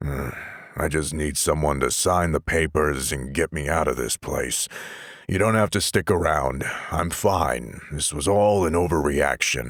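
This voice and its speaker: A man puts on a raspy character voice with a very deep, low pitch and ordinary pitch variation. His pace is moderate. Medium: read story. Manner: gruff, curt.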